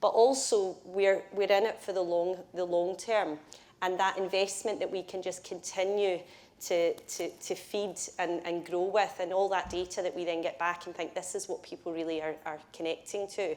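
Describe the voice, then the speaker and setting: A woman with a Scottish accent, medium pitch and monotone, flat intonation at a moderate pace. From Scotland. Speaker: build-to-rent industry executive. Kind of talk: panel discussion.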